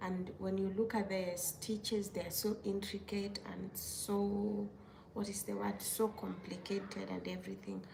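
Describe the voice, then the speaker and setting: A woman with a non-native accent and a medium pitch at a moderate pace, with audible room echo and noticeable background noise. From Kenya. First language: not English. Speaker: crochet maker and content creator. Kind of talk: casual livestream chat. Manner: casual, with hesitations and self-corrections.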